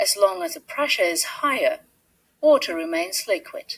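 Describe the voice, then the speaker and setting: A woman speaks with a British accent. Her pace is moderate. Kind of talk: educational science narration.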